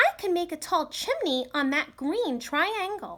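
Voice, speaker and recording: Using a put-on character voice, a woman speaks at a fairly slow pace with an extremely high, squeaky pitch, a gentle tone and lively intonation. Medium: read story. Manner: gentle, friendly.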